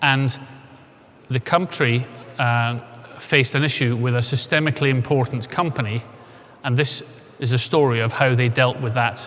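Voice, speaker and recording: At a moderate pace and medium pitch, a man talks with fairly even intonation and long, frequent pauses. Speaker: insolvency expert speaker. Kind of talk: conference presentation.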